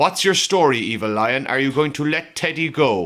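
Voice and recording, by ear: A man with a medium pitch and a fairly bright tone speaks at a moderate pace with lively intonation.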